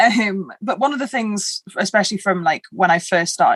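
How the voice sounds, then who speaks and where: A woman speaks at a moderate pace, her pitch swinging very widely. The sound is dry and close, with no echo. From northern England. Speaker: artist and illustrator. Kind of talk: podcast interview. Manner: chatty, with hesitations and restarts.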